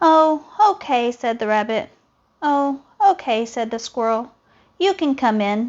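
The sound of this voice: This unforced reading voice moves with lively intonation.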